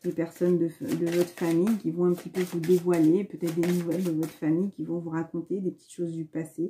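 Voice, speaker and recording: A woman's fairly low voice at a fairly quick pace. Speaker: spiritual card reader. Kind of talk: spiritual card reading monologue. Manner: fast; hesitant, many fillers.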